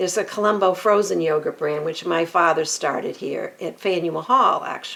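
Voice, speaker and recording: Noticeable background noise surrounds a woman speaking at a fairly low pitch with hardly any pauses. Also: ordinary pitch variation, moderate pace. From US Northeast, Merrimack Valley, Massachusetts. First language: Armenian. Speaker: real estate agent. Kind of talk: podcast interview.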